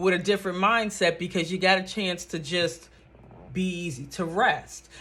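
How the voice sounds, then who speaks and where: A woman's fairly low voice at a moderate pace, over noticeable background noise. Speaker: vlogger. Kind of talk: casual monologue. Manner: casual, conversational.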